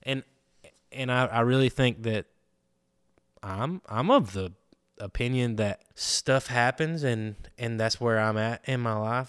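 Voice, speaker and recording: A man with a Southern US accent talks at a moderate pace, his medium pitch and intonation fairly even, with long, frequent pauses. The sound is dry and close with no echo, on a very clean recording with a silent background. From Alabama, Andalusia. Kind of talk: casual chat.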